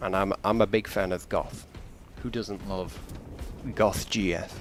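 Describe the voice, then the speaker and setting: A man talks at a very slow pace. Music plays in the background. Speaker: gaming streamer. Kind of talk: live gameplay commentary. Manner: casual, chatty.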